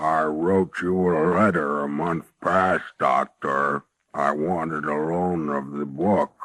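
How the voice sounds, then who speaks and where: Putting on a character voice, a man speaks with a very deep, low pitch at a fairly slow pace with fairly even intonation. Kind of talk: 1940s radio acting. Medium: old radio play. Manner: unsettling, insistent.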